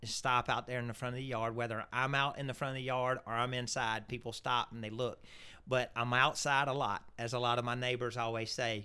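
With a Southern US accent, a man talks at a fairly quick pace in a bright, sharp tone and monotone, flat intonation, on a very clean recording with a silent background. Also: medium pitch for a man. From Louisiana. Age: 50s. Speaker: turf products sales rep. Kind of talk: casual interview.

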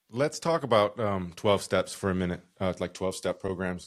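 A man with an American accent speaks at a very deep, low pitch. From Utah. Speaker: social work professor and podcast host. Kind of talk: casual interview conversation. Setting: remote recording from home.

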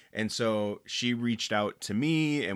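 The recording is very clean, with a silent background. A man speaks at a fairly slow pace with ordinary pitch variation. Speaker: youth pastor and podcast host. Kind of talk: casual chat. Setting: studio. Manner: loud.

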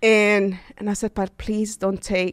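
Very clean recording with a silent background and a dry, close sound with no echo. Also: woman. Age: 30s. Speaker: student and ultramarathon runner. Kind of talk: interview.

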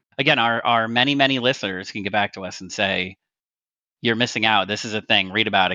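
This man's pitch is fairly low and varies in an ordinary way. He talks very fast. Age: 40s. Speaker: gaming podcast co-host. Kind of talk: casual chat.

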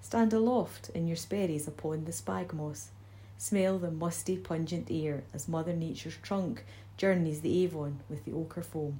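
Somewhat breathy, a woman speaks at a moderate pace with a very deep, low pitch, a dark, mellow tone and very wide pitch swings. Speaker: library staff reader. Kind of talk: poem reading, ornate nature verse read aloud.

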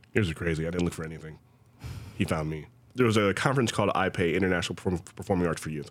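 A man with an American accent speaks at a very fast pace, his pitch very deep and low. His pitch varies in an ordinary way. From Ohio, US. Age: 30s. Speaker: dancer and choreographer. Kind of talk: interview. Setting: video call.

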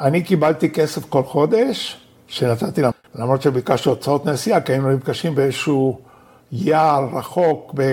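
Here a man talks at a moderate pace with a non-native accent and a fairly high pitch. His loudness stays very even, and his pitch variation is ordinary. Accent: non-native Hebrew. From Argentina, Buenos Aires. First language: Spanish (speaking Hebrew). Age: 70s. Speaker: professor and human rights activist. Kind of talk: interview.

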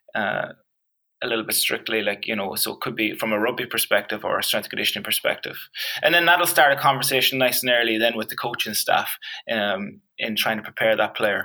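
Bright and sharp in tone, a man's medium-pitched voice carries a Donegal accent. He speaks at a fairly quick pace. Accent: Donegal Irish. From Ireland, County Donegal. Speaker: strength and conditioning coach. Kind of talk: casual interview.

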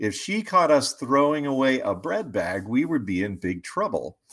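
A man with an American accent talks in a normal speaking voice at a moderate pace, with lively intonation. The recording is very clean, with a silent background. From West Virginia. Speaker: financial advisor. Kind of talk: interview.

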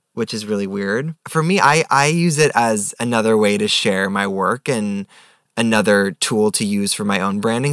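A man with a normal speaking voice and an American accent talks at a moderate pace with a fairly low pitch and ordinary pitch variation, in a very clean recording with a silent background and a dry, close sound with no echo. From New York. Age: 20s. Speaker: photographer. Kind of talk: casual chat.

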